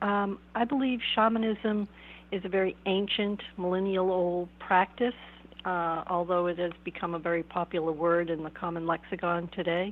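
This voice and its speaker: A woman talks with an American accent. Her intonation is fairly even. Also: medium pitch for a woman, moderate pace. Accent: Boston accent, somewhat suppressed. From Boston area, US. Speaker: shamanic counselor and author. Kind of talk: interview. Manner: thoughtful, with filler hesitations.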